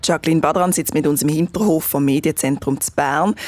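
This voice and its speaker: A woman speaks at a fairly quick pace in a very deep, low pitch. The recording is very clean with a silent background. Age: 20s. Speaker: podcast host, journalist. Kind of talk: scripted narration.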